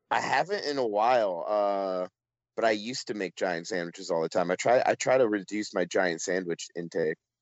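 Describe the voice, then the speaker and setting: The speaker talks at a fairly quick pace in a normal speaking voice. The pitch varies in an ordinary way. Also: man, fairly low pitch for a man. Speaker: film festival coordinator and writer. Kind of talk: casual chat. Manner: casual, filler-heavy speech.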